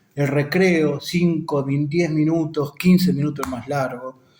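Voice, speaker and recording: Through noticeable background noise, a man speaks at a very slow pace with a fairly high pitch and ordinary pitch variation. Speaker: teacher explaining an education text. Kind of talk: lecture.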